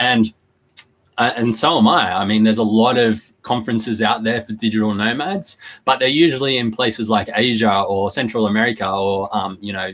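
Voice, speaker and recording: A man speaks at a fairly quick pace. His pitch sits at a medium level, with fairly even intonation. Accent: Australian. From Australia, Newcastle NSW. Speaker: online business host. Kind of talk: live stream talk to viewers. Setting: live online video stream. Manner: casual, halting with fillers.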